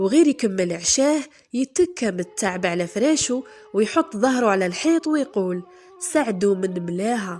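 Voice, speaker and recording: Over music in the background, a woman speaks at a moderate pace with an Algerian accent. Her fairly high voice makes very wide pitch swings. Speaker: storyteller. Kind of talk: folk tale storytelling.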